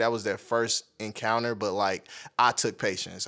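On a very clean recording with a silent background, this man keeps a moderate pace. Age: 20s. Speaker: photographer. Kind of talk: casual chat.

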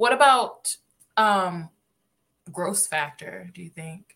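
A woman speaks at a medium pitch with ordinary pitch variation. Her tone is bright and sharp. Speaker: podcast host. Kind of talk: casual chat.

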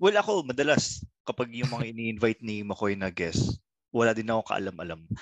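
Medium-pitched male speech in a quiet background. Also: dry, close sound with no echo. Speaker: comedy podcast host. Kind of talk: casual chat.

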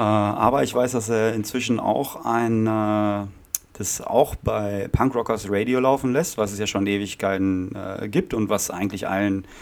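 A man with an ordinary speaking voice, fairly low in pitch with ordinary variation, at a fairly slow pace. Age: 30s. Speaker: podcast host and punk drummer. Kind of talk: casual chat.

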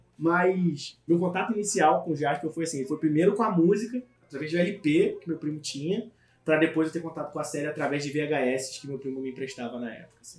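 With a plain, everyday voice, a man talks at a fairly quick pace and fairly high pitch, showing ordinary pitch variation and big swings in loudness. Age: 20s. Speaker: podcast co-host. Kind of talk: casual chat.

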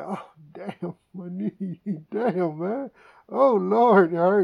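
A put-on character voice sits at a middle pitch and sounds whiny. The delivery comes at a very slow pace. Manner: whining.

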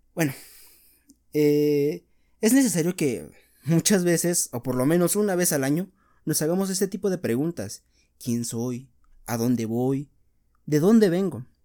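Speaking at a fairly slow pace with lively intonation, this voice has a dark, mellow tone and long, frequent pauses, captured in a very clean recording with a silent background. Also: man, fairly high pitch for a man. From Mexico, Veracruz. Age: 20s. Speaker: podcaster, psychology student and fitness instructor. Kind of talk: solo monologue podcast.

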